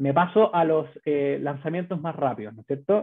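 A man with a Chilean accent speaks with ordinary pitch variation against a quiet background. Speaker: bank business manager presenting; presenter. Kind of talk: webinar presentation. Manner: halting, many fillers and repetitions. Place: home room. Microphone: webcam.

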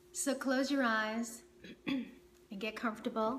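Light background noise sits behind a woman's fairly high voice with ordinary pitch variation. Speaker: meditation teacher. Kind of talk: guided meditation. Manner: calm, slow, soothing; gentle, instructive. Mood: calm, soothing. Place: home room.

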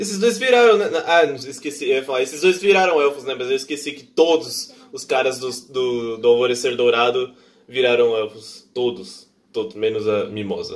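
A man talks at a moderate pace with lively intonation and big swings in loudness. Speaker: anime reaction youtuber. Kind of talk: casual vlog chat. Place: home room. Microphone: headset.

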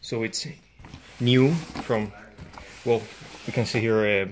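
A man with a Spanish accent speaks at a moderate pace over light background noise. His intonation is fairly even. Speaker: unboxing vlogger. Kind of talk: casual unboxing review. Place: home room. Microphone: phone near.

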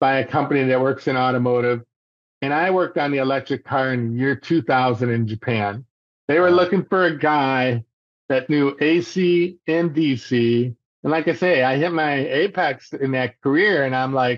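In a dry recording with no echo and a quiet background, a man talks at a moderate pace with ordinary pitch variation. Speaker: podcast guest. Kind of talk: interview answer. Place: home room. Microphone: video call.

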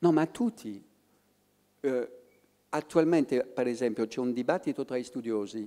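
A man in a French accent, dark and mellow in tone, at a fairly slow pace with long, frequent pauses and ordinary pitch variation, against a quiet background. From France. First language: French (speaking Italian). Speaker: professor of political history; public guest. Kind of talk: public talk. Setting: stage with audience. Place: stage. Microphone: handheld.

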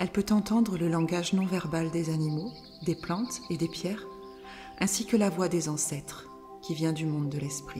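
A woman speaks at a fairly slow pace in a fairly low pitch, with ordinary pitch variation. Her tone is calm and soothing, and music plays in the background. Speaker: narrator of women's circle wisdom tales. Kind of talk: spiritual tale reading, relaxation-style narration. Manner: calm, soothing.

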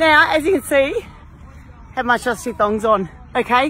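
A woman with a high pitch and ordinary pitch variation talks at a moderate pace, the sound dry with no echo and crowd noise in the background. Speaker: fitness trainer. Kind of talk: casual exercise tutorial. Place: garden. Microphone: phone near.

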